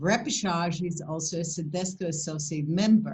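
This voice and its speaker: A fairly slow, somewhat breathy woman's voice, fairly low in pitch, with ordinary pitch variation. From Poland. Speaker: esthetician and skincare company founder. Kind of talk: educational presentation. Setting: video call webinar.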